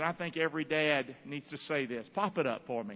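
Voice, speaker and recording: A man in a Southern US accent, fairly high in pitch, with lively intonation and a fairly slow pace. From US South, North Carolina (Rockingham). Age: 50s. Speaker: pastor. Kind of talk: sermon. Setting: church. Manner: animated.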